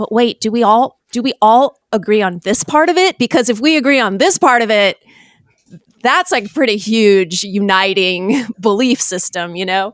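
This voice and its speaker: With an American accent, a woman with an unremarkable speaking voice and a fairly high pitch talks at a moderate pace with lively intonation, the sound dry and close with no echo. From Virginia, US. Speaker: podcast host and worship musician. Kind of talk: casual chat.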